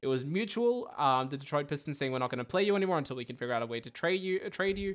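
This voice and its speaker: The speaker has an Australian accent, captured on a very clean recording with a silent background. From Melbourne, Australia. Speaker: podcast host. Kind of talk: casual chat. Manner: rambling, halting, jokey.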